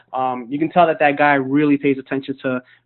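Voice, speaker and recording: A man with a New York accent, fairly high-pitched, monotone and flat, at a fairly quick pace. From Brooklyn, New York. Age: 20s. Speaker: network marketing leader. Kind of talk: motivational webinar talk. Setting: webinar conference call. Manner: casual, many filler words.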